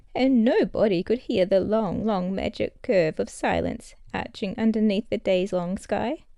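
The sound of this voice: The reading here comes in an unforced reading voice.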